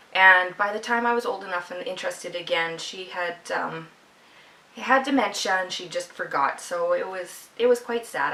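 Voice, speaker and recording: A woman with a Canadian Prairies accent at a medium pitch, over noticeable background noise. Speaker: podcast host, knitter. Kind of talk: casual video podcast monologue. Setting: at home, video podcast.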